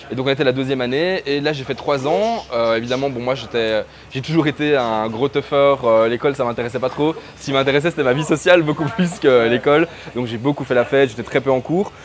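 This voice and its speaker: With a Belgian accent, a man talks at a fairly quick pace in a fairly high pitch, his pitch varying in an ordinary way over noticeable background noise. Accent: pronounced Belgian French. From Belgium, Brussels. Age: 30s. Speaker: freelance digital marketer. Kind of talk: interview. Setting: in person, Chiang Mai. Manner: hesitant, many fillers.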